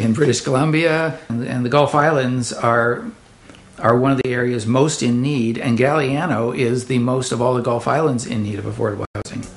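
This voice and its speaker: Medium-pitched male voice at a moderate pace, with fairly even intonation, audible room echo and noticeable background noise. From elsewhere, moved to the island. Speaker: community housing advocate. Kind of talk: interview.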